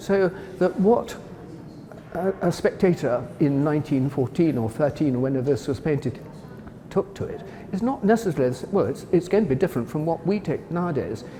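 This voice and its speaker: Noticeable background noise sits behind a man speaking at a fairly quick pace with very wide pitch swings. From Wales. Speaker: art historian, former gallery director. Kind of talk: interview about a painting. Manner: enthusiastic, with hesitations and self-corrections.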